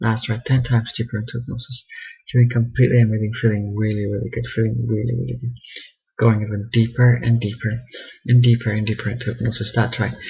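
Somewhat breathy and monotone with flat intonation, a man speaks at a very fast pace. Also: medium pitch for a man. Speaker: hypnotist. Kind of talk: hypnosis induction session. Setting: video call via webcam.

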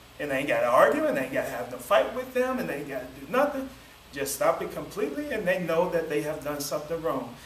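A man talks at a very fast pace. Audible room echo and light background noise come through. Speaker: preacher. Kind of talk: sermon. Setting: church. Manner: calm, doesn't yell. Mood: warm, relaxed, smiling. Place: classroom. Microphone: camera far.

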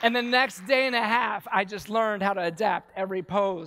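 A man with an American accent, bright, sharp tone and ordinary pitch variation. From Baltimore, US. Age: 40s. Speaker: war veteran and yoga teacher; conference speaker. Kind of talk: conference talk. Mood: intense, emotional storytelling. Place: stage. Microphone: headset.

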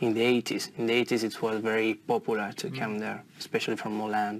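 The speaker has an Italian accent and a monotone, flat intonation. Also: man. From northern Italy, near Como. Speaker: IELTS test candidate. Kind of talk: exam interview. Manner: halting, many fillers and repetitions.

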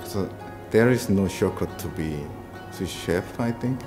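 The speaker is a man. Behind him, music comes through clearly. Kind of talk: interview answer. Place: shop.

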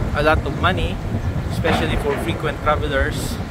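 Loud background noise accompanies a man whose voice sounds dry, with no echo. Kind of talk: casual travel vlog narration. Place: boat. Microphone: phone near.

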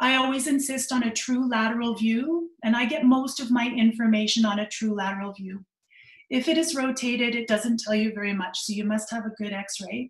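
A woman with a Canadian accent talks at a fairly quick pace in a fairly high voice with ordinary pitch variation, some room echo audible against a quiet background. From Canada. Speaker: orthopedic surgeon; presenter. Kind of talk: lecture. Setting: video call. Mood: friendly, lightly humorous. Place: home room. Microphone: webcam.

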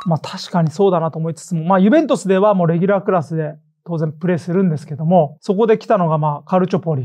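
Against a quiet background, a man talks at a fairly quick pace in a high-pitched voice with a dark, mellow tone. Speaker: football podcast host. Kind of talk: casual chat. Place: studio. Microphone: lapel.

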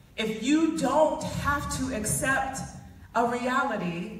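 In a room with strong echo, a woman speaks slowly. Her voice is high-pitched with lively intonation.

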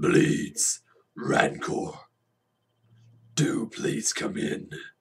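A man puts on a raspy, high-pitched character voice. His tone is menacing and theatrical. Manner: menacing, theatrical.

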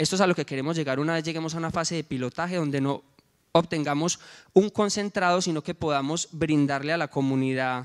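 A man's fairly high-pitched voice at a fairly quick pace, with ordinary pitch variation against a quiet background. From Colombia, coffee region. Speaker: social entrepreneur, former rural teacher; presenter. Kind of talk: project presentation. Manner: halting, with filler sounds. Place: hall. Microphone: handheld.

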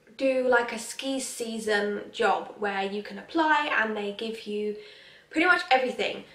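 The speech moves at a fairly slow pace with ordinary pitch variation, and audible room echo surrounds it. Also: woman. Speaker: vlogger. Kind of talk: casual vlog chat. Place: home room. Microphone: phone near.

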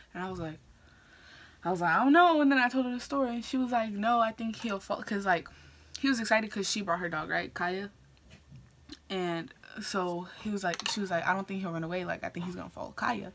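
The speaker is a woman. She talks very fast, with lively intonation. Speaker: beauty vlogger. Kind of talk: casual vlog chat. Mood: amused storytelling. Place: home room. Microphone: phone near.

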